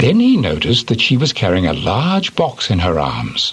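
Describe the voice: What you hear is plain reading aloud.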